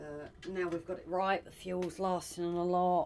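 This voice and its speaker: Soft-spoken and at a very slow pace, a woman talks at a fairly low pitch. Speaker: livestreaming artist. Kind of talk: casual livestream chat while drawing. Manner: soft-spoken, talking quietly. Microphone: came across quiet on stream.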